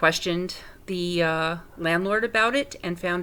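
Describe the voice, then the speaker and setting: With an American accent, a woman speaks at a fairly slow pace, her fairly low voice carrying a bright, sharp tone. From New York City (Manhattan). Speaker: paranormal investigator. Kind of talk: self-introduction. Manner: halting.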